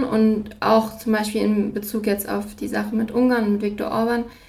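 A woman speaks at a moderate pace with a fairly high pitch and monotone, flat intonation. Noticeable background noise and audible room echo surround her. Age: 20s. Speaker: student and podcast host. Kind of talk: interview. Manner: halting with frequent fillers.

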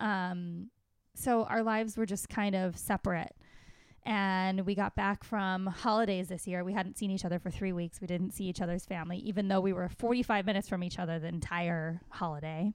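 Speech comes at a fairly quick pace in an unremarkable speaking voice. Its intonation is fairly even. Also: woman, medium pitch for a woman. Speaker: stand-up comedian. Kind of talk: casual interview chat.

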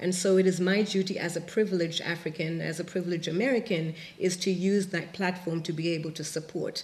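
A woman with a fairly low, somewhat breathy voice talks at a very fast pace with hardly any pauses and fairly even intonation. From Zimbabwe. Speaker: artist. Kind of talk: panel discussion. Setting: stage with audience.

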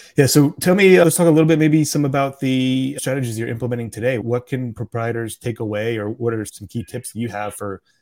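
A man with a plain, everyday voice at a medium pitch talks at a fairly quick pace with ordinary pitch variation, big swings in loudness and hardly any pauses, on a very clean recording with a silent background. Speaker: podcast host. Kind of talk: casual interview.

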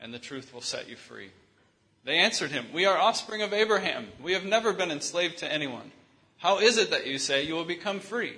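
Lively intonation marks this man's ordinary speaking voice, which moves at a fairly quick pace. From US Midwest, Michigan. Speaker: visiting preacher. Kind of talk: sermon with consecutive interpretation.

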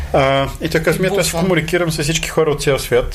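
A man speaks at a moderate pace. His voice carries audible room echo, and noticeable background noise sits beneath it. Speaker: esports manager and former pro gamer. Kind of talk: casual interview.

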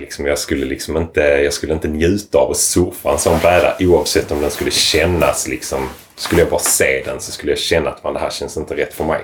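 A man talks at a fairly quick pace with hardly any pauses against noticeable background noise. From southern Sweden, Lomma (Skåne). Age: 30s. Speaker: surfboard shaper. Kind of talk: casual chat.

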